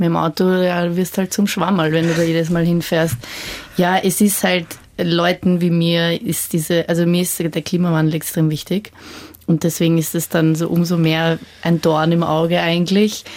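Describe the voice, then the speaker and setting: Over noticeable background noise, a woman with a fairly low pitch talks at a moderate pace. Her intonation is monotone and flat, her loudness very even. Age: 20s. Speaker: young student-age panelist. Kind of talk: radio panel discussion.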